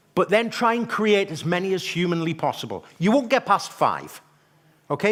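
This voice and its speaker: Here a man talks at a moderate pace. His tone is animated. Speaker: marketing trainer. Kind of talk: live workshop presentation. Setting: stage with audience. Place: hall.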